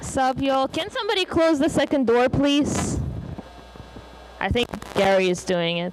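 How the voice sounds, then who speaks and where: Amid noticeable background noise, a woman with a high pitch talks at a moderate pace, with very wide pitch swings and long, frequent pauses. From Russia. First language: Russian. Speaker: conference speaker. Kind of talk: conference talk. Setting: stage with audience.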